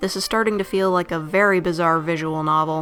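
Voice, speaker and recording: With music in the background, the speaker keeps a moderate pace and ordinary pitch variation. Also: woman. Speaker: game reviewer. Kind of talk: video game review narration. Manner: casual, joking.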